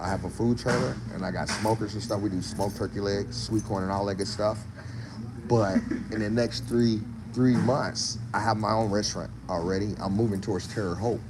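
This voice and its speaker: A man talks at a fairly quick pace with ordinary pitch variation, amid noticeable background noise and audible room echo. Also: fairly low pitch for a man. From Mississippi, US South. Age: 60s. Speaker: barbecue cook and food vlogger. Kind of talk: casual live-stream chat. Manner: animated, informal.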